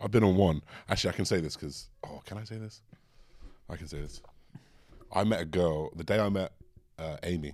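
A man's very deep, low voice with an English accent, fairly quick pace, ordinary pitch variation, big swings in loudness and long, frequent pauses. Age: 20s. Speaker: podcast co-host. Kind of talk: casual chat. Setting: studio.

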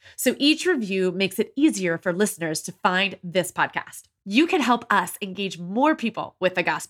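Over a silent background in a very clean recording, a woman with a normal speaking voice talks at a moderate pace with lively intonation. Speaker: podcast host. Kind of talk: podcast interview, host intro and chat. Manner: warm, upbeat.

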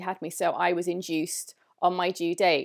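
A woman speaks with a southern English accent on a very clean recording with a silent background. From England, London. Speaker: holistic female health expert. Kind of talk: interview.

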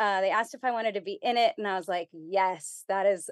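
A woman with an ordinary speaking voice and an American accent, ordinary pitch variation, and a quiet background. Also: dry, close sound with no echo. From US South, Texas border (McAllen, Rio Grande Valley). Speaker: theater educator and workshop leader. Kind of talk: interview.

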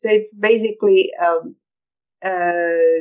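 A woman with a Croatian accent at a very slow pace. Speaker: photographer and scientist. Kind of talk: interview. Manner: halting.

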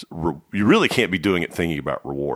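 With an American accent, a man speaks at a very deep, low pitch and with lively intonation. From Dallas, Texas. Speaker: record producer and label co-owner. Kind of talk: casual interview. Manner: halting, many restarts and fillers.

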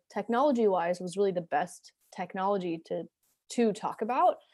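Heard in a very clean recording with a silent background, a woman has an ordinary speaking voice with an American accent. Her pitch is medium and her pace moderate. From US Northeast (New Jersey). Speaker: entrepreneur and product designer. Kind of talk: interview. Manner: casual, filler-heavy.

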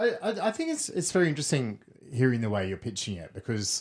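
Speaking very fast with lively intonation, a man with an Australian accent is heard on a very clean recording with a silent background. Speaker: podcast host. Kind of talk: interview. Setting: studio.

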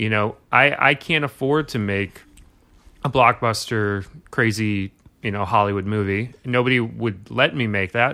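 A man with an American accent speaks at a fairly slow pace in a fairly low voice with ordinary pitch variation. It is an ordinary speaking voice on a very clean recording with a silent background. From Brooklyn, New York. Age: 30s. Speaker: filmmaker. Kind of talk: casual chat. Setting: studio.

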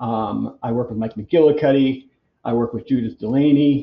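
An unremarkable speaking voice with an American accent, ordinary pitch variation and a fairly quick pace. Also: man. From Boston, US. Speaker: massage therapist and clinic owner. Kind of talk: casual interview.

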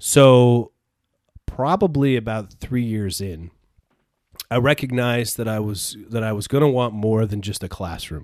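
A man with an American accent and an ordinary speaking voice talks fairly slowly at medium pitch, with ordinary pitch variation. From upstate New York (Peru, NY). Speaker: entrepreneur, former school administrator. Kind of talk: casual interview chat.

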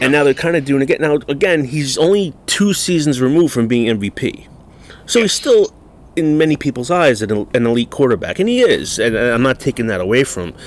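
Speaking at a fairly quick pace, a man with an unremarkable speaking voice uses lively intonation at a fairly high pitch. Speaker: podcast host. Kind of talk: casual chat. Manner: casual, profane.

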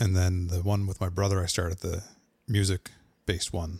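On a very clean recording with a silent background, a man with a very deep, low pitch sounds somewhat breathy. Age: 40s. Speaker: podcaster and gear reviewer. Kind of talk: casual chat.

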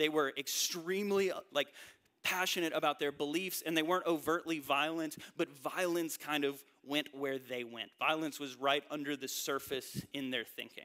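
A man speaks with a Southern US accent at a moderate pace. His fairly high voice has a bright, sharp tone and fairly even intonation. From North Carolina, US South. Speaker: pastor. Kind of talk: sermon.

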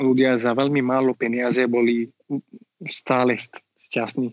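A man with an Indian accent at medium pitch, with monotone, flat intonation and a fairly slow pace, in a dry, close sound with no echo. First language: Marathi (speaking Slovak). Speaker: community mediator. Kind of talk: interview. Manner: halting with many fillers.

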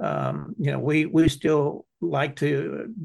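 A man with an American accent, quiet background. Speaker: foundation founder. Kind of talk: interview.

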